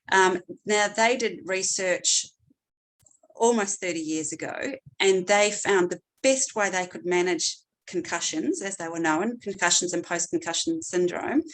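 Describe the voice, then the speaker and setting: The speaker has a slight New Zealand accent and a fairly slow pace. Intonation is lively. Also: woman, medium pitch for a woman. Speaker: clinical neuropsychologist. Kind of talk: seminar presentation. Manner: hesitant with frequent fillers.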